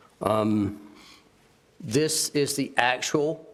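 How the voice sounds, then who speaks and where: A man at a medium pitch talks over noticeable background noise. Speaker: county department official presenting a report. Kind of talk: public meeting presentation. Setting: county commissioners' meeting.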